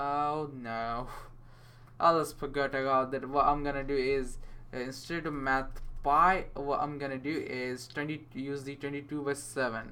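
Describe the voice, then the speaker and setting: A man speaks at a fairly slow pace in a fairly high voice with a bright, sharp tone and a flat, monotone intonation. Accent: non-native. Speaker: programming tutor. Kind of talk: coding tutorial screencast. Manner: casual, hesitant, many fillers.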